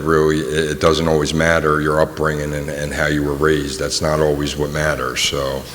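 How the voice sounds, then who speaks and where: A man talks with a very deep, low pitch. Noticeable background noise and audible room echo fill the recording. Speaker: person in addiction recovery. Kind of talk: testimony. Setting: community forum in a gym, audience. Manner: halting, many fillers.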